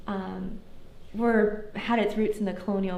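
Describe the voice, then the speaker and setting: A woman speaks at a medium pitch with fairly even intonation. There is noticeable background noise and audible room echo. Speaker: history lecturer. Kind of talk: lecture with Q&A. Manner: fast.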